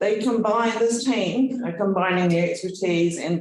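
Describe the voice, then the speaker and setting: A man with a New Zealand accent at a moderate pace. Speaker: university executive. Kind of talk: speech. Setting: event with audience.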